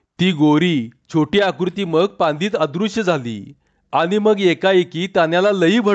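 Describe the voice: Against a quiet background, the speaker does plain reading aloud with ordinary pitch variation.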